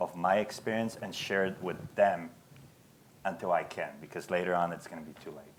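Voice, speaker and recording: A man's very deep, low voice in a non-native accent, fairly quick, with big swings in loudness. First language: not English. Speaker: business owner. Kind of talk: panel Q&A. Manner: halting.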